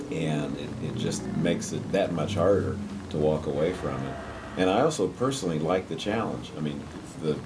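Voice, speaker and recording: A man's very deep, low voice with ordinary pitch variation, plus audible room echo and noticeable background noise. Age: 60s. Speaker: university president. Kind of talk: interview. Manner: halting.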